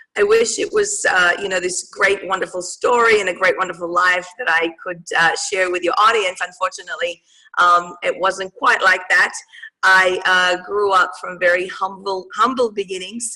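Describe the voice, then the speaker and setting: A woman's bright, sharp voice at medium pitch, flat and monotone, at a moderate pace. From Australia. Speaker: mindset coach. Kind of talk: interview. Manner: halting, many fillers.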